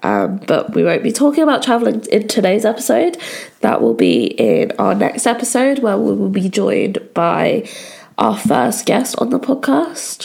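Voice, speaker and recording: Noticeable background noise beneath a fairly slow delivery. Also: woman. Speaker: podcast host. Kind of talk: casual solo podcast talk.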